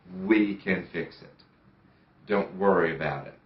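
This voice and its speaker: Audible room echo around a man speaking with an American accent. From United States. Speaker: surgery patient. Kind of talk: testimony. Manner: halting, with fillers and repetitions.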